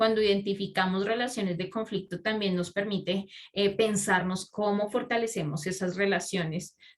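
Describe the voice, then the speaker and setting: A woman talks at a moderate pace with fairly even intonation. Hers is an unremarkable speaking voice. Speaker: pastoral social specialist. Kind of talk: lecture.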